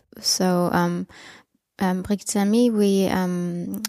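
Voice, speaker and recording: A woman at medium pitch, in a dry, close sound with no echo, on a very clean recording with a silent background. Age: 20s. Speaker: open source program participant. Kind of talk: interview.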